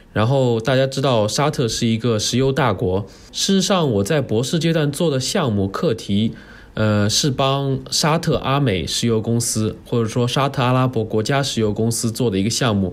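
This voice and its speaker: A man's plain, everyday voice at a medium pitch, moderate pace, ordinary pitch variation and very even loudness. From Jiangsu, China. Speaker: postdoctoral researcher. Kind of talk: casual interview chat. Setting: remote recording over the internet.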